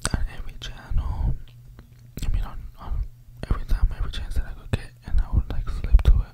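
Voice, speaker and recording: A man talks at a fairly quick pace over loud background noise. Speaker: ASMR creator. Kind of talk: casual storytelling chat. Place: home room. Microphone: studio mic.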